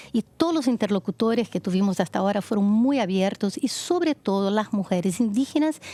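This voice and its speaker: A woman's dark, mellow voice at medium pitch, fairly quick in pace, dry and close with no echo. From Brazil. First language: Portuguese (speaking Spanish). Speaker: foundation project leader, women's rights advocate. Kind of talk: TV interview.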